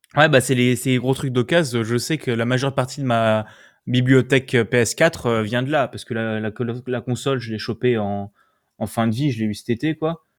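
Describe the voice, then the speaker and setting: A man with a normal speaking voice talks at a medium pitch and moderate pace with fairly even intonation. The recording is very clean, with a silent background. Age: young. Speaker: podcast host, student. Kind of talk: casual chat.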